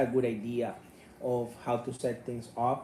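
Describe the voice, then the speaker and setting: Against noticeable background noise, a man with a medium-pitched voice speaks with a Spanish accent. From Cuba. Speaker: martial arts YouTuber. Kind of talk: commentary reading out an email. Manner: passionate, loud.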